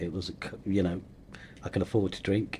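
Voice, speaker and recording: A man speaks with a Leicester accent in a dark, mellow tone at a fairly low pitch. His intonation stays fairly even. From England, Leicester. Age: 60s. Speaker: recovery coach, former addict. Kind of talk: interview, personal testimony. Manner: hesitant, with fillers.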